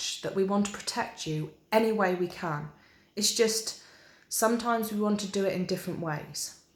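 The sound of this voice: This clip features an unforced reading voice.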